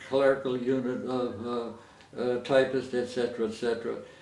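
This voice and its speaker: The man talks at a medium pitch in a flat, monotone delivery. Noticeable background noise sits behind him. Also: hardly any pauses. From Coronado, California. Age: 80s+. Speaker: war veteran. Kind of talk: interview answer.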